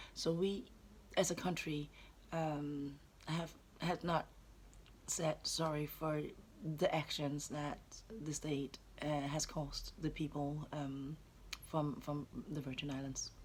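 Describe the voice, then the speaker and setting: In a Danish accent, a woman with a very deep, low pitch speaks very slowly in a flat monotone, somewhat breathy, with long, frequent pauses. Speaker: anti-racism educator. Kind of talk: vlog monologue. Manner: halting.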